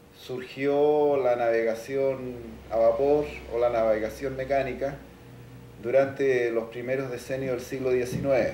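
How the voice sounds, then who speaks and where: A man speaks very slowly in a monotone, flat voice, with audible room echo and light background noise. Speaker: maritime historian interviewee; interviewee. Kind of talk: interview. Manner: hesitant, filler-laden. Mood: calm, explanatory. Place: home room.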